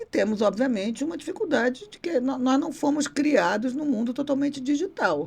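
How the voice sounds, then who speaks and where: The speech has big swings in loudness and hardly any pauses. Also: woman, high pitch for a woman, lively intonation, moderate pace. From Rio de Janeiro, Brazil. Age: 60s. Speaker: former university rector and political candidate. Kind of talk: podcast interview.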